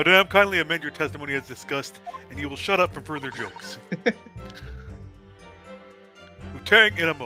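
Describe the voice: A man with an American accent talks at a very fast pace in a fairly high pitch, his pitch swinging very widely and his loudness rising and falling sharply, with long, frequent pauses and music playing in the background.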